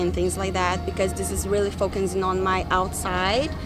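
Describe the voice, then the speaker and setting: Music plays in the background and the room echo is audible as a woman speaks with a Brazilian Portuguese accent. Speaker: interviewee, marketing worker. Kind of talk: interview. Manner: hesitant, with fillers.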